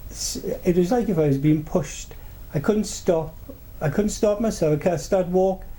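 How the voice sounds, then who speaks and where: A high-pitched man speaks in a Welsh accent with a dark, mellow tone and ordinary pitch variation. His pace is moderate, broken by long, frequent pauses. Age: 70s. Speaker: paranormal experiencer. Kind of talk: interview storytelling. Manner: halting, many repetitions and fillers.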